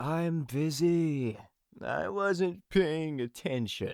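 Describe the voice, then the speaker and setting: A man mumbles in a put-on character voice with lively intonation and a fairly high pitch. His pace is very slow. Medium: read story. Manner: mumbling, simmering.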